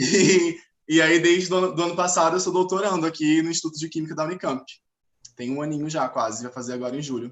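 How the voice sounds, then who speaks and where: A man with a fairly high pitch speaks very fast. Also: ordinary pitch variation. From Linhares, Espírito Santo, Brazil. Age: 20s. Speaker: chemistry PhD student. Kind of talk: self-introduction in live panel chat.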